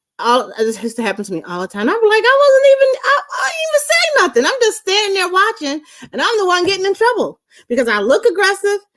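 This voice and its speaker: A woman talks very fast and loud in an extremely high, animated voice, her pitch swinging very widely. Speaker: live show co-host. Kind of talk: casual chat.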